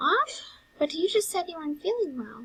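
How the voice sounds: In a put-on character voice, a woman speaks at a moderate pace with an extremely high pitch, big pitch swings and a fairly bright tone.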